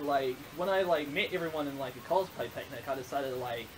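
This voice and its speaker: A man with a New Zealand accent talks at a very fast pace and a fairly high pitch, with ordinary pitch variation. Noticeable background noise is present. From New Zealand, Hamilton. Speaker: cosplayer. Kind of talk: interview. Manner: bubbly; quieter than host.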